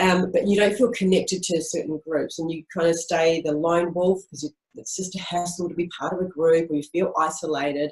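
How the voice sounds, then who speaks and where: A woman talks fairly quickly with hardly any pauses. Her voice is fairly low and her intonation fairly even. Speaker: speaker on business and spirituality. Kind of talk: webinar talk. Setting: webinar. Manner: fast.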